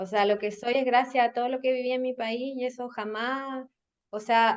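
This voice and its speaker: A woman speaks in a Chilean accent with a high pitch. Her intonation is monotone and flat. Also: moderate pace. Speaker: marketing and communications professional. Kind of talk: podcast interview.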